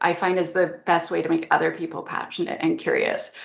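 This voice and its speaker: A woman talks at a fairly quick pace with very wide pitch swings, and audible room echo surrounds her voice. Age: 40s. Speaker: security expert and author. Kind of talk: conference talk and Q&A. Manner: animated.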